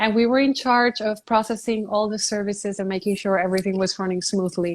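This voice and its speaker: A woman with a Spanish accent speaks at a fairly quick pace and medium pitch. Her intonation is fairly even, and the recording is very clean with a silent background. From Puerto Rico. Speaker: beauty pageant titleholder. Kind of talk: interview. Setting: live stream from her apartment.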